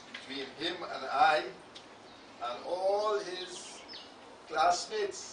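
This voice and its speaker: In a room with audible echo, a man speaks very slowly in a high pitch, with ordinary pitch variation and long, frequent pauses. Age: 80s+. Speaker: retired teacher giving eulogy. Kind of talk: eulogy. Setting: funeral service. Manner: formal.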